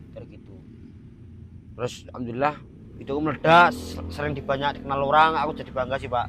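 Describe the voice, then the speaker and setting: Speaking very fast in a Semarang accent, a man with a fairly high pitch and an animated tone shows big swings in loudness and long, frequent pauses. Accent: Semarang Javanese. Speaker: content creator. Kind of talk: casual chat.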